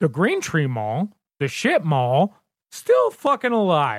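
On a very clean recording with a silent background, a man with an American accent speaks at a very slow pace in a dry, close sound with no echo. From Southern Indiana, near Louisville. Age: 30s. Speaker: podcast host. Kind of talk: casual chat.

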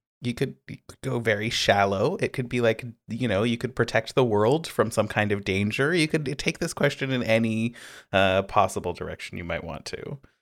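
In a Canadian accent, a man with an unremarkable speaking voice and medium pitch talks at a moderate pace, his loudness swinging widely, on a very clean recording with a silent background. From British Columbia, Canada (Pender Island). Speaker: podcast co-host, game designer. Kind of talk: casual chat.

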